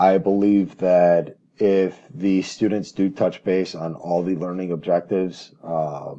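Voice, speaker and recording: A man speaks very slowly in a very deep, low voice with a dark, mellow tone and fairly even intonation. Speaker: education student planning an auto maintenance teaching unit. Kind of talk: recorded class assignment presentation. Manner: hesitant, stammering, many filler words.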